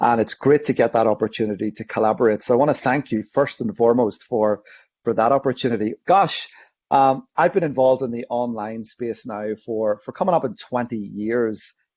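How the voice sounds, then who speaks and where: Speaking fairly quickly with a Northern Irish accent, a man holds a medium pitch and ordinary pitch variation. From Northern Ireland. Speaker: online safety educator. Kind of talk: interview.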